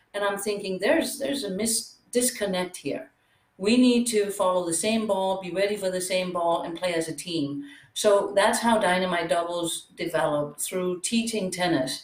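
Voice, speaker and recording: This medium-pitched female voice speaks with a Danish accent. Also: lively intonation, moderate pace. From Denmark. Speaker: pickleball coach and former tennis pro. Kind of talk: interview.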